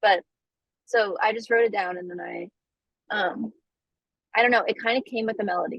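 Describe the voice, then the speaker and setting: A woman's fairly high voice in an American accent, fairly quick but broken by long, frequent pauses, fairly even in intonation, with big swings in loudness and a dry, close sound with no echo. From Pennsylvania. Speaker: singer-songwriter. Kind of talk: interview answer. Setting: phone or video call from the road. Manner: casual, chatty.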